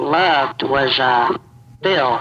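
There is noticeable background noise behind a man whose voice is fairly high in pitch. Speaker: anonymous social media account owner. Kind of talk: interview.

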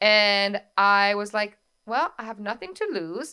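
A woman's medium-pitched voice with a bright, sharp tone and a French accent. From France. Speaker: wedding coordinator. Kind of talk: casual interview podcast.

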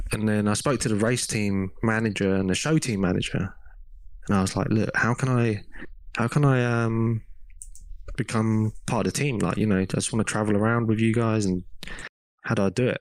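Speech in an English accent moves at a fairly quick pace with long, frequent pauses, very even loudness and fairly even intonation. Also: man, fairly low pitch for a man. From England. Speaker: race mechanic. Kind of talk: casual chat.

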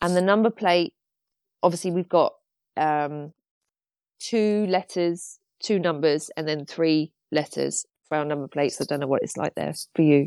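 An English accent at a fairly slow pace with long, frequent pauses and ordinary pitch variation, in a dry, close sound with no echo on a very clean recording with a silent background. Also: woman. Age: 30s. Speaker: artist. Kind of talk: interview about pet loss.

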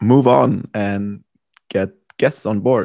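Against a quiet background, a man talks at a fairly slow pace in a calm, dark, mellow tone, his fairly low pitch showing ordinary variation. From Germany. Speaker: podcast host, former footballer. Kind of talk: casual interview.

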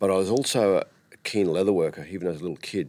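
A man with a rural Australian accent, a very deep, low pitch and vocal fry. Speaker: tourism operator and cattle farmer. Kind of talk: interview. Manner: halting.

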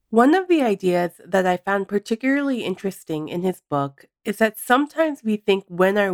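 A woman's voice with very wide pitch swings on a very clean recording with a silent background. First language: not English. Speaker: podcast host and primary care doctor. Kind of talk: scripted narration.

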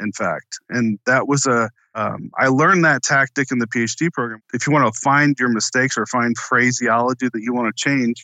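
In a normal speaking voice, a man with an American accent talks at a moderate pace and medium pitch. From Florida, Tampa. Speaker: author and former intelligence officer. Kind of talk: interview.

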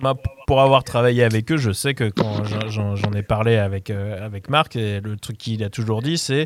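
This man has a normal speaking voice with a fairly low pitch. He talks fairly slowly, with ordinary pitch variation. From France, Paris region (Mantes-la-Jolie). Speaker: music programmer. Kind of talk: casual radio debate.

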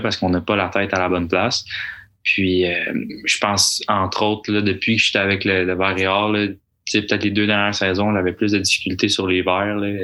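A man with a bright, sharp tone and fairly low pitch speaks in monotone, flat intonation, in a very clean recording with a silent background. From Quebec. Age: 20s. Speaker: university golfer and medical student. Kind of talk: casual interview. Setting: studio.

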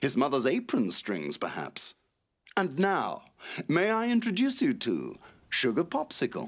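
A man puts on a character voice with very wide pitch swings, vocal fry and medium pitch, talking at a fairly slow pace on a very clean recording with a silent background.

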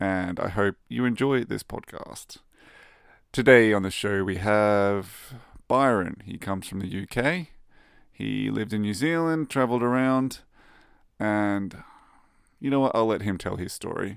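A fairly low-pitched man with an Australian accent, fairly slow and full of long, frequent pauses, in a very clean recording against a silent background. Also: ordinary pitch variation. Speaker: podcast host. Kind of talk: scripted intro; casual chat.

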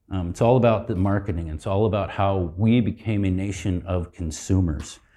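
A man's fairly low, somewhat breathy voice with a dark, mellow tone, moderate pace and ordinary pitch variation, over a quiet background. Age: 60s. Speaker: marriage and family therapist. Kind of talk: conference talk. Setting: stage with audience.

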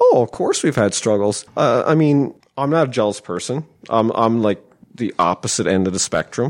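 A man with a normal speaking voice and medium pitch talks at a moderate pace with lively intonation. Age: 40s. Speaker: podcast guest. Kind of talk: casual chat. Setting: studio.

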